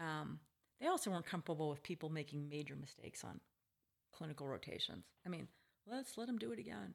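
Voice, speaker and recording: A woman speaks at a very fast pace with long, frequent pauses, her very deep, low voice swinging very widely in pitch and edged with vocal fry. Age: 50s. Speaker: retired psychologist and hospice patient. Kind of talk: prepared monologue; casual interview conversation. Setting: at home.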